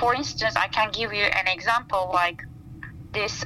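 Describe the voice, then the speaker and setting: A woman with a Turkish accent. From Turkey, Istanbul. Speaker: plant scientist. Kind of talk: interview. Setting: outdoors by a campfire.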